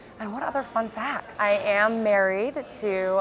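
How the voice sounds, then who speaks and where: A woman with an American accent, at a fairly slow pace. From US South, Birmingham, Alabama. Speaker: entrepreneur, company founder. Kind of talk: interview. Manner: casual with many fillers.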